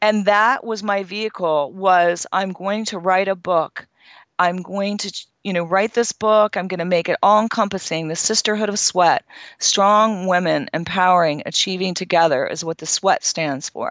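With a normal speaking voice, a woman talks at a moderate pace in a medium pitch, her intonation fairly even. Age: 50s. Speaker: fitness expert and author. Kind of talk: interview.

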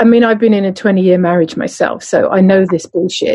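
Somewhat breathy at a medium pitch, a woman speaks in a southern English accent. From southern England, Surrey. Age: 50s. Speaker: podcast co-host and embodiment coach. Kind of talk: casual chat.

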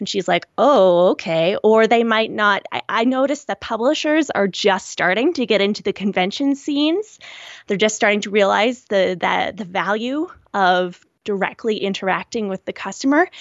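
With a Canadian accent, a woman speaks at a moderate pace and fairly high pitch in a normal speaking voice. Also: lively intonation. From Canada, rural Nova Scotia. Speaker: book designer and self-published author. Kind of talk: interview. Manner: casual with frequent fillers.

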